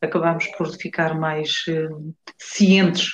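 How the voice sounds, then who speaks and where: A woman speaks with a fairly low pitch. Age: 40s. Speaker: nurse. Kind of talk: interview. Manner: halting.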